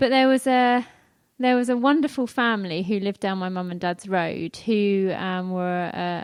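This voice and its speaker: A woman's medium-pitched voice at a moderate pace, with a slight North London accent. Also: quiet background. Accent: slight North London accent, drops T and H. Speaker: church member, emergency planner and mum. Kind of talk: testimony interview.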